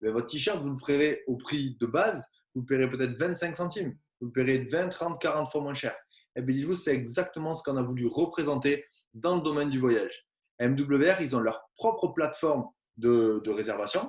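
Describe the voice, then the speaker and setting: In a southwestern French accent, a man speaks at a moderate pace with a fairly high pitch and ordinary pitch variation. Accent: southwest French. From southwest France. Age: 20s. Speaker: network marketing presenter. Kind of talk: sales pitch.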